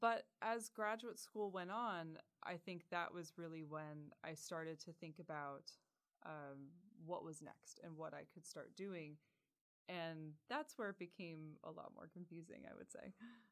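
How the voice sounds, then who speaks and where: A woman's normal speaking voice, fairly low in pitch, with an American accent, ordinary pitch variation and a fairly slow pace. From rural Pennsylvania. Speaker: university administrator. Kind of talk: interview.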